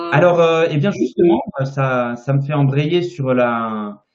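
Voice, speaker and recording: A man with a fairly high pitch. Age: 30s. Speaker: naturopathy teacher and interviewer. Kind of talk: live-stream interview. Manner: hesitant, many fillers.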